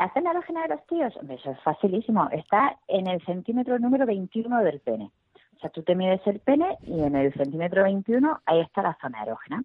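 In a Murcian accent, a woman with a medium pitch talks at a fairly quick pace, her pitch swinging very widely. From Murcia, Spain. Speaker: comedian. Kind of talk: interview.

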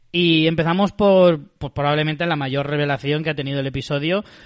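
A man's ordinary speaking voice, fairly high-pitched, at a moderate pace with fairly even intonation. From Spain. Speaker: podcast host. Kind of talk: casual chat.

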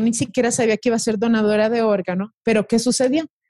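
A woman with an ordinary speaking voice, fairly high pitch and fairly even intonation, in a dry, close sound with no echo. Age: 30s. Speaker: social media wellness creator. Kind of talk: interview.

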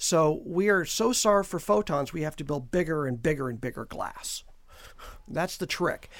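On a very clean recording with a silent background, a man with an American accent and an ordinary speaking voice speaks at a moderate pace with lively intonation and a fairly high pitch. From California, Mojave Desert. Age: 60s. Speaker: astronomy professor. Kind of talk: radio interview.

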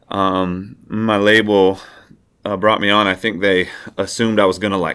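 A man talks at a moderate pace in a fairly low pitch, with fairly even intonation. It is an unremarkable speaking voice. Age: 30s. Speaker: singer-songwriter. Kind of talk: casual interview conversation.

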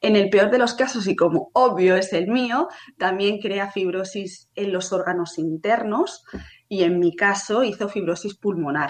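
In a normal speaking voice, a woman speaks fairly slowly at a medium pitch with ordinary pitch variation. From Spain, Barcelona. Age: 30s. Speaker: patient with a rare disease. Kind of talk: testimony. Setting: live stream.

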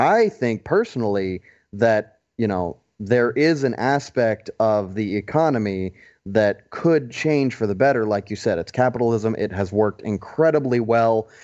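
Here a man with a normal speaking voice talks with an American accent and ordinary pitch variation. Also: medium pitch for a man, moderate pace. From US South, Atlanta, Georgia. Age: 20s. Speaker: podcast panelist on US politics. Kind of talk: casual roundtable discussion. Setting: in-person around a table.

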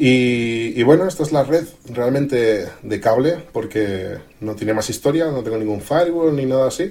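A man's plain, everyday voice, medium-pitched, moderately paced, with lively intonation. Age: 30s. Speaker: tech blogger and youtuber. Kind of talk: interview.

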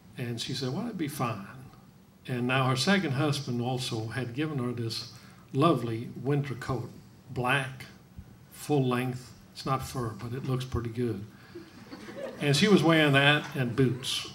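A man talks at a fairly slow pace with long, frequent pauses and ordinary pitch variation. His pitch is medium, and noticeable background noise runs underneath. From Norway. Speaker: guest's husband. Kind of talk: interview with live audience. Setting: stage with audience.

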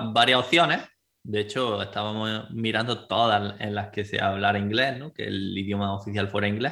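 Speaking at a moderate pace, a man with a fairly low pitch talks in an Andalusian accent. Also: fairly even intonation. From Spain, Andalusia (Granada). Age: 20s. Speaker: relocation agency director. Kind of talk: interview.

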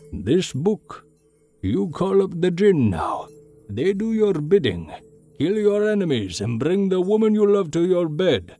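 A man's put-on character voice, high and dark, mellow in tone, with big pitch swings at a fairly slow pace over faint background music.

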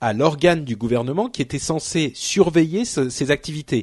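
A man with an ordinary speaking voice and lively intonation talks at a moderate pace in a dry, close sound with no echo. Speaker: tech podcast host. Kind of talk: casual chat.

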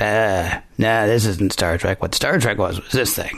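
Using a raspy, put-on character voice, a man speaks with a fairly low pitch, fairly even intonation, and a fairly slow pace. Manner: grumpy, complaining.

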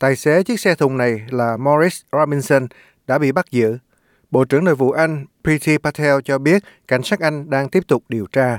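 The recording is very clean with a silent background. A man talks at a moderate pace in a normal speaking voice, fairly high-pitched with ordinary pitch variation. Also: dry, close sound with no echo. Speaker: news reader. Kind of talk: news reading. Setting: studio.

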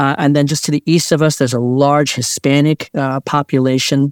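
A man with a fairly high pitch speaks in a Mid-Atlantic American accent, the sound dry and close with no echo. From Maryland, Montgomery County. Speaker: pastor. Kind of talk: interview conversation.

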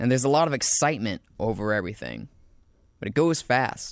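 This voice has an American accent and a moderate pace. Its pitch swings very widely. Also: man. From US South, South Carolina. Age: 20s. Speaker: student narrator and show producer. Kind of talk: scripted narration.

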